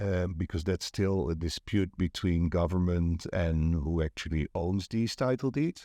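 A dark, mellow tone in a Dutch accent, with ordinary pitch variation, a fairly slow pace, hardly any pauses, and a dry, close sound with no echo over a quiet background. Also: man, very deep, low pitch for a man. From Netherlands. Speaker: property agent and networking event organizer. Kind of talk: casual interview chat.

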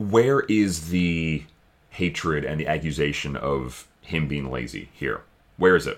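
Speech moves at a fairly slow pace. The pitch shifts in an ordinary way. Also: man, very deep, low pitch for a man. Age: 30s. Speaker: podcast co-host. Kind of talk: casual chat. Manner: animated.

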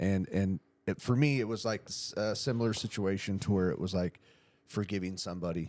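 A man with an American accent talks in an unremarkable speaking voice, fairly low in pitch with ordinary variation. The recording is very clean, with a silent background. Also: fairly quick pace. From San Diego County, California. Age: 40s. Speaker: podcast host. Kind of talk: casual chat.

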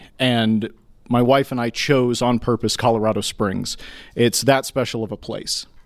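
In a normal speaking voice, a man with an American accent speaks at a moderate pace, medium pitch and fairly even intonation. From Texas, Houston. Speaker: city council candidate, scientist. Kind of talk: candidate forum debate. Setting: stage with audience.

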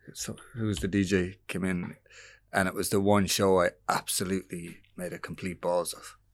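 In a very clean recording with a silent background, a man with an Irish accent speaks at a moderate pace and a very deep, low pitch, with monotone, flat intonation and big swings in loudness. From Ireland. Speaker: musician. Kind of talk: casual chat.

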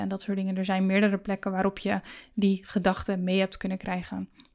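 Recorded very cleanly against a silent background, a woman speaks at a medium pitch in a monotone, flat intonation. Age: 30s. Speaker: podcast host and business coach. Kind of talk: solo podcast monologue.

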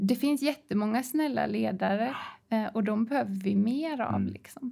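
A woman's dark, mellow voice at a fairly high pitch. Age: 40s. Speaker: tech company founder and leadership expert. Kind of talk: casual interview. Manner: animated.

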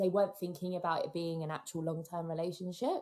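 A woman with an English accent, a fairly low pitch and fairly even intonation. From England. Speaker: podcast producer and co-host. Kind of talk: casual chat.

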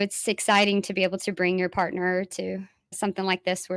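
With an American accent, a woman speaks at a fairly quick pace in a flat monotone. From Dallas, Texas. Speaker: musician and former ministry leader. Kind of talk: interview conversation. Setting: in-person interview.

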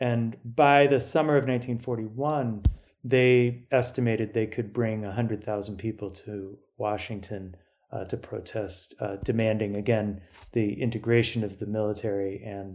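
At a moderate pace, a man with an ordinary speaking voice talks at a fairly low pitch and fairly even intonation, with big swings in loudness, on a very clean recording with a silent background. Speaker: author and historian. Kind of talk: interview discussion of history.

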